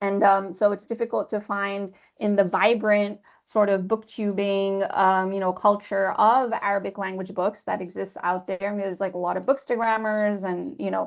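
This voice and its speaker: In a plain, everyday voice, a woman with an American accent talks at a moderate pace, her medium pitch carried by fairly even intonation. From Pakistan. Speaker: literary translator. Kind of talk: webinar panel discussion. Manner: casual, many fillers.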